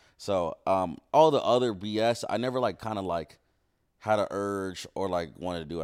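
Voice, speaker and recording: A man with an American accent speaks in an unremarkable speaking voice at a moderate pace, his fairly low pitch carried by lively intonation and big swings in loudness. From Ohio. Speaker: streamer. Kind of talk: casual chat. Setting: studio.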